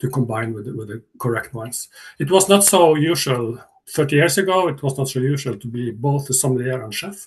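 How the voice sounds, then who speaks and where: A man with a Norwegian accent talks fairly quickly at a medium pitch, somewhat breathy. His intonation is lively, and his loudness swings widely. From Northern Norway. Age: 60s. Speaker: chef and sommelier. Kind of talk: online seminar talk. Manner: halting.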